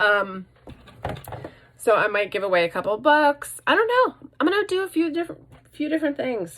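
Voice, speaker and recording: Over noticeable background noise, a woman with a high pitch talks at a fairly quick pace, her pitch swinging very widely and her speech broken by long, frequent pauses. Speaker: vlogger. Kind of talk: casual vlog. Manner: fast; animated.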